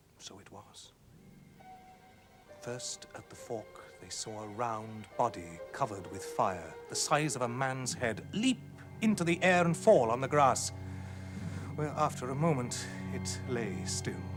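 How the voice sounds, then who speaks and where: Against music in the background, a man at a medium pitch talks at a fairly slow pace with lively intonation, long, frequent pauses, and big swings in loudness. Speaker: actor, narrator. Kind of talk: ghost story reading.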